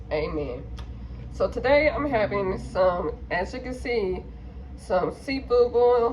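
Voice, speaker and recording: Noticeable background noise and audible room echo fill the recording. Through them, a woman talks at a very slow pace. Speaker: mukbang vlogger. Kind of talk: casual vlog chat while eating. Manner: mouth full, eating sounds.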